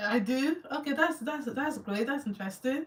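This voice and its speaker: Lively intonation in a strong Nigerian accent. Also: woman. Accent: Nigerian accent, still strong. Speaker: YouTuber. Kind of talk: live Q&A with viewers. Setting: livestream. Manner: halting.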